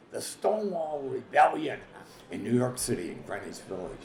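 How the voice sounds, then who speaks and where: A man at a moderate pace, with audible room echo. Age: 80s+. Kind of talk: documentary interview.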